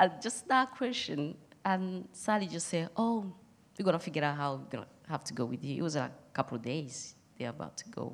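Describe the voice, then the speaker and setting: A woman with a non-native accent talks at a fairly quick pace in a fairly low pitch, her voice making very wide pitch swings and big swings in loudness. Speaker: church member. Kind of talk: testimony.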